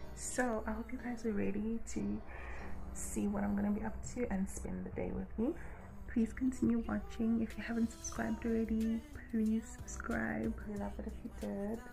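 Clear music sounds in the background as a woman talks at a moderate pace. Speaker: vlogger. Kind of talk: casual vlog chat. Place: home room. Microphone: phone near.

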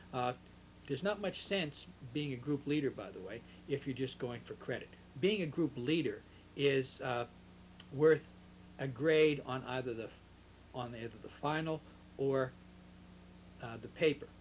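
With light background noise behind him, a man speaks in a somewhat breathy voice at a moderate pace, using ordinary pitch variation and long, frequent pauses. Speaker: literature teacher. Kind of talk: lecture. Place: home room. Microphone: old recording.

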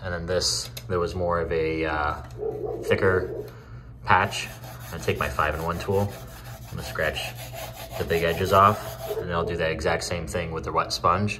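Over noticeable background noise, a man with a very deep, low voice speaks at a moderate pace with ordinary pitch variation and long, frequent pauses. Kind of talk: casual vlog tutorial. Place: home room. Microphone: phone near.

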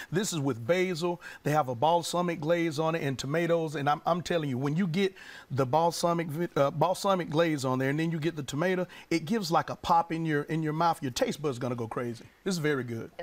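A man is talking at a very fast pace. His pitch variation is ordinary. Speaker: guest. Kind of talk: interview answer. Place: studio. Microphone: lapel.

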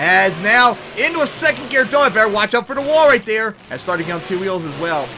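A man speaks in a raised, projected voice with an animated, excited tone. Noticeable background noise runs underneath. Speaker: game commentator. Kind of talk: live play-by-play commentary over game footage. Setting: voiceover recorded over gameplay video. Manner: animated, fast play-by-play with excited exclamations.

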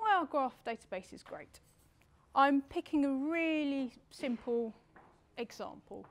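A woman is talking. She speaks at a high pitch. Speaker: conference presenter. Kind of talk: lecture. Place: hall.

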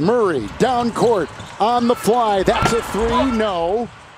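A man speaks in a playful tone over noticeable background noise. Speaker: play-by-play basketball commentator. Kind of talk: live play-by-play basketball commentary, calling each pass and shot. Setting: broadcast booth at live game. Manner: playful, laughing banter with partner between plays.

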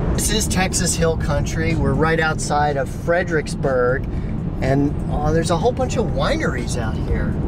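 Moderate pace, loud background noise, and a dry sound with no echo. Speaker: car reviewer. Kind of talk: casual vlog chat. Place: car. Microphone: phone near.

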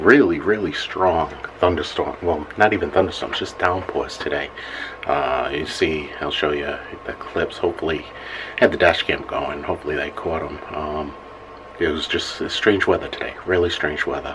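Noticeable background noise behind a man's moderate-paced speech. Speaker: vlogger. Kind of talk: casual vlog chat. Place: bathroom. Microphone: phone near.

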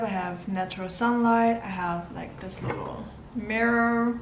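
A woman talks at a fairly slow pace, with audible room echo and light background noise. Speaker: vlogger. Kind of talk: casual vlog chat. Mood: relaxed, slightly nervous, laughing. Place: kitchen. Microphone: phone near.

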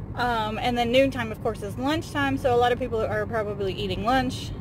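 The fairly quick speech sounds dry with no echo, and noticeable background noise is present. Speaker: vlogger driving. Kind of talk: casual vlog chat. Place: car. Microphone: phone near.

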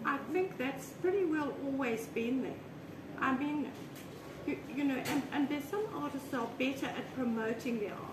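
A woman speaks in a high voice at a moderate pace, with ordinary pitch variation and noticeable background noise around her. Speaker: artist. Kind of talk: casual interview chat. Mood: relaxed reminiscing chat. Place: home room. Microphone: camera far.

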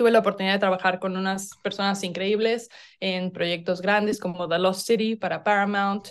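Her pace is moderate. A woman does the talking. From central Mexico, Cuernavaca; Mexico. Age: 30s. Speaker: filmmaker; interviewee. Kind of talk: interview. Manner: halting. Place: home room. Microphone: video call.

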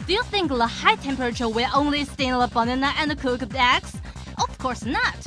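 A woman speaks with music in the background. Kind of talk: TV commercial read.

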